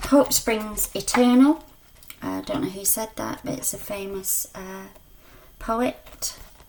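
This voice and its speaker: A woman at a very slow pace amid noticeable background noise. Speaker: spiritual card reader. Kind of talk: card reading. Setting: video on own channel. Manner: mumbling at times.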